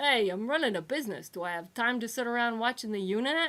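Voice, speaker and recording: Here a woman puts on a character voice with a fairly high pitch. She talks at a very fast pace. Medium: read story. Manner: cheerful, brash.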